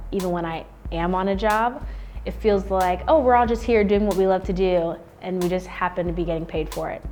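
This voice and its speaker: Noticeable background noise sits under the recording. A woman with an American accent talks at a fairly quick pace. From Florida (Orlando). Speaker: professional dancer. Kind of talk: interview. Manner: casual, lots of fillers.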